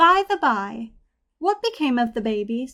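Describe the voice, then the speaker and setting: The pitch is high. A woman is doing a put-on character voice. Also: moderate pace. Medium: read story. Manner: sly, cryptic.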